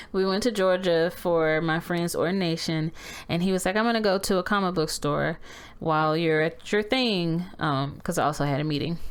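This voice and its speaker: A woman talks at a fairly low pitch with ordinary pitch variation. She keeps a moderate pace. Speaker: podcast co-host. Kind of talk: casual chat. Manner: loud; animated.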